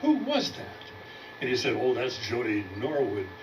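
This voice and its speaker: Very wide pitch swings mark this moderately paced speech, which carries audible room echo and noticeable background noise. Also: man. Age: 80s+. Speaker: comedy student. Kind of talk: stand-up. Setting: stage with audience.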